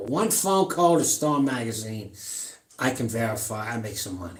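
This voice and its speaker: Audible room echo surrounds a man talking at a moderate pace. His pitch swings very widely. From New York, Long Island. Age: 70s. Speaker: powerlifter and fitness streamer. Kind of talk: casual live-stream chat. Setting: home gym. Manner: rambling, halting.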